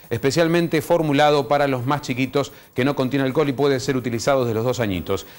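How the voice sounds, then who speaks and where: A man speaks at a fairly high pitch with ordinary pitch variation. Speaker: TV host. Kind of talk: TV talk show. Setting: TV studio. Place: studio. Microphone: lapel.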